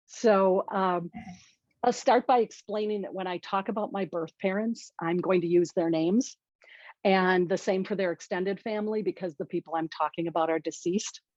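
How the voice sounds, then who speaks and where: Here a woman talks with an American accent at a medium pitch. Her pace is moderate and her pitch variation ordinary. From Washington State. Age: 60s. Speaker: workshop presenter. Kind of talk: conference presentation.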